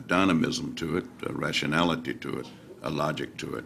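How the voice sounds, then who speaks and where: A man speaks with a very deep, low pitch. Audible room echo and noticeable background noise surround him. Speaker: interviewer. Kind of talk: interview questions. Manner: halting.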